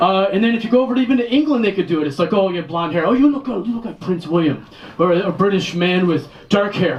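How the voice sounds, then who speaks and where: A man with an American accent talks very fast in a high pitch, his intonation lively over noticeable background noise. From Detroit, US Midwest. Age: 40s. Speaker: stand-up comedian. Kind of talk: stand-up.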